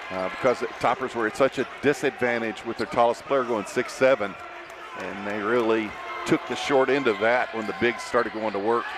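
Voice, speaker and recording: A man speaks with a Kentucky accent and fairly even intonation. Noticeable background noise runs underneath. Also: medium pitch for a man, fairly quick pace. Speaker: color commentator. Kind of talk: live commentary.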